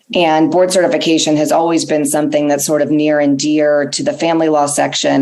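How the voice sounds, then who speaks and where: A woman speaks in a very deep, low pitch with monotone, flat intonation at a fairly quick pace. Audible room echo and noticeable background noise fill the recording. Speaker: family law attorney and board chair. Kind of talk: conference presentation.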